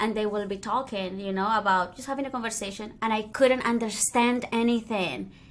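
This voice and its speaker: With a Spanish accent, a woman speaks. Her intonation is fairly even. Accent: Spanish-speaking accent in English. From Colombia (Cali), then Spain (Madrid). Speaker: DJ and podcast host. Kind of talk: casual interview chat.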